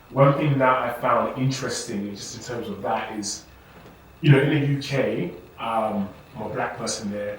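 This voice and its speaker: With a British accent, a man at a medium pitch speaks through audible room echo and noticeable background noise. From England. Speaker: podcast host. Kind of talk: casual chat.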